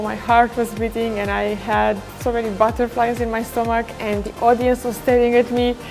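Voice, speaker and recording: Clear music is playing behind the voice. The speaker is a woman. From Romania. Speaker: TV and event presenter, MC, public speaker. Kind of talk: showreel voice-over talking about presenting.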